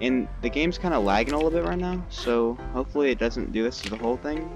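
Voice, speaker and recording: A man speaks at a fairly quick pace with a dry sound and no echo. Clear music plays in the background. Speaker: gamer commentator. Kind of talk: casual gameplay commentary. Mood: light, self-deprecating.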